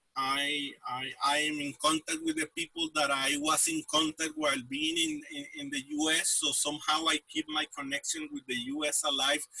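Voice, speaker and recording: In a dry, close sound with no echo, a man with a Spanish accent and fairly high pitch speaks at a moderate pace in a monotone, flat intonation. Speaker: news website editor. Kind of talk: interview. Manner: halting, many fillers and repetitions.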